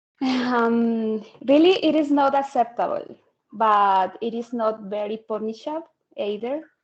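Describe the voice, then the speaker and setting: With a Spanish accent, a woman talks at a fairly slow pace, her pitch fairly high with ordinary variation. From Colombia. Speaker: English exam candidate. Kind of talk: mock speaking exam. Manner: halting, many fillers.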